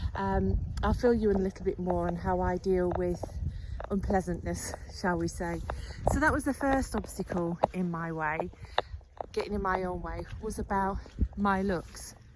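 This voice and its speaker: Here a woman speaks at a moderate pace with long, frequent pauses. Background noise is noticeable. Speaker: YouTuber. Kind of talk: casual talk to camera. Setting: outdoors. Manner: gentle, humorous.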